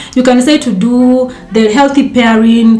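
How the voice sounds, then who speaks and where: Ordinary pitch variation, with noticeable background noise and audible room echo. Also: woman. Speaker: dietitian and content creator. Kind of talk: casual talk to camera. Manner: fast.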